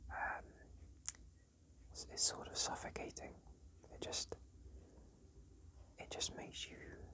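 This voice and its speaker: A man whispering at a very slow pace. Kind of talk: casual talk to camera. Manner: whispered.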